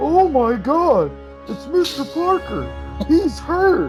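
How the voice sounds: A put-on character voice speaks at a very slow pace over clear music in the background.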